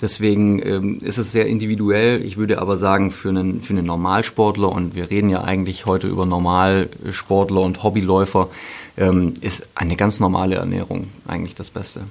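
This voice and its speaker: Very deep, low male speech, fairly quick, in a monotone, flat intonation. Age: 40s. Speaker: sponsoring manager and running coach, former pro athlete. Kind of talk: casual interview chat. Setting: studio.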